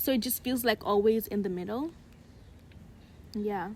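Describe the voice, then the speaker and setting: Somewhat breathy and fairly high in pitch, a woman speaks with an American accent and ordinary pitch variation. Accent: somewhat American-sounding English. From Uganda. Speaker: podcast co-host. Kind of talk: casual chat.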